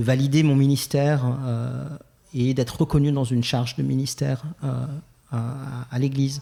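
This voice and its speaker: Here a man talks at a moderate pace and a medium pitch. His voice is somewhat breathy with a dark, mellow tone and fairly even intonation. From Geneva, Switzerland. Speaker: LGBTQ+ church ministry founder. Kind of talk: podcast interview. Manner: hesitant, many fillers.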